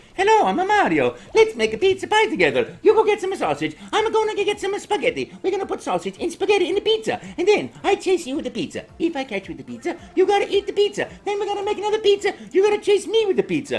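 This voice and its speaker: Using a put-on character voice, a man talks at a very fast pace. His pitch is extremely high. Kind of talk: playful, comedic. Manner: younger, happy, joyful.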